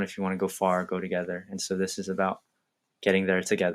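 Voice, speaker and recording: On a very clean recording with a silent background, a man with a fairly low pitch speaks at a fairly quick pace. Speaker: men's coaching program host. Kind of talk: program overview talk. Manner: monotone; halting.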